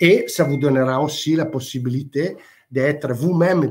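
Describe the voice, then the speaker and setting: A man's somewhat breathy voice with a non-native accent, fairly high in pitch, with ordinary pitch variation. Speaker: industrial product manager. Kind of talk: webinar presentation. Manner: halting, hesitant.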